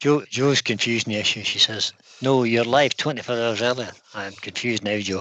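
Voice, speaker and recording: In an ordinary speaking voice, a man talks at a fairly quick pace, his medium pitch held to fairly even intonation. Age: 60s. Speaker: woodturning channel co-host reading live chat. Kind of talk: casual live stream chat.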